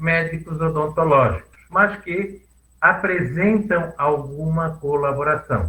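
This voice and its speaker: Very slow speech from a man, his pitch fairly high. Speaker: dentist lecturer. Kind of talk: lecture.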